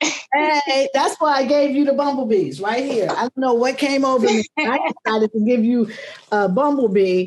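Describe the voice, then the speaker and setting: At a moderate pace, a woman speaks with a high pitch and very even loudness. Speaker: magazine interviewer host. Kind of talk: interview host talk.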